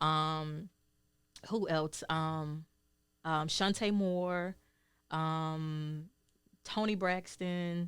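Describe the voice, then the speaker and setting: Speaking very slowly with long, frequent pauses, a woman with a Southern US accent uses a very deep, low pitch, fairly even intonation, and very even loudness. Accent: Southern, noticeable. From Georgia, US South. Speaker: singer and healer. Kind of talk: interview. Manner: hesitant, many ums.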